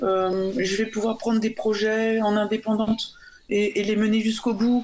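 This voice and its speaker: A woman at a moderate pace and fairly high pitch, over noticeable background noise. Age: 50s. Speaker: freelance software developer. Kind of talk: radio panel discussion. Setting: remote call into radio studio.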